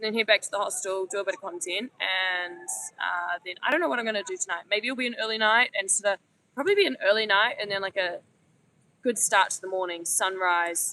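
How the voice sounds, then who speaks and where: A woman talks at a fairly quick pace in a bright, sharp tone. The sound is dry and close, with no echo. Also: medium pitch for a woman, ordinary pitch variation. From New Zealand. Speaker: travel vlogger. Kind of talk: casual vlog chat. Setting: outdoors on a beach.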